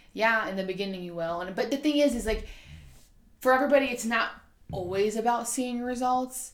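Loud and high-pitched, a woman speaks at a fairly quick pace. Her pitch variation is ordinary. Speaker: nurse and personal trainer. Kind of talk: casual chat. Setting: studio.

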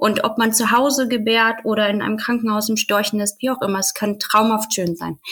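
A woman speaks at a fairly quick pace with hardly any pauses. Her pitch is fairly high and her intonation monotone and flat. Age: 30s. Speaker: podcast guest sharing personal birth story. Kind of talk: personal testimony in interview.

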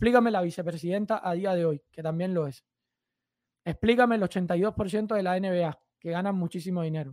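Pitch rises and falls in an ordinary way. The delivery keeps a moderate pace. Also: man, high pitch for a man. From Cuba. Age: 30s. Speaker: fitness YouTuber. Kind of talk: casual interview chat.

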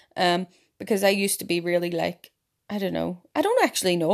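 A woman speaks at a fairly quick pace in a fairly low voice. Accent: Northern Irish. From Ireland. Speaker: podcast host. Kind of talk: casual monologue. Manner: animated.

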